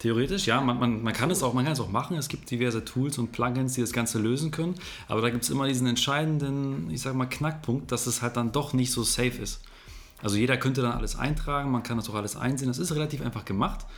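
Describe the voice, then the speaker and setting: Over music in the background, the speech runs at a very fast pace with ordinary pitch variation. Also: man, medium pitch for a man. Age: 20s. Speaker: podcast host. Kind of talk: interview. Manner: animated.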